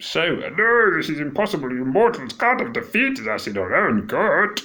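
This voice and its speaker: Using a put-on character voice, a man projects at a high pitch in a raised voice, keeping a moderate pace. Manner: indignant, disbelieving.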